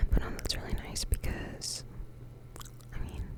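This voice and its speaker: A whisper at a fairly slow pace over noticeable background noise. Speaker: ASMR creator. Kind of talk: ASMR whisper ramble. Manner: whispered.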